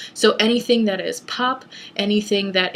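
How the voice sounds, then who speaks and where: Her medium-pitched voice follows a fairly even intonation. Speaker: pagan video blogger and self-taught singer. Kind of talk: casual vlog advice. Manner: hesitant with many fillers.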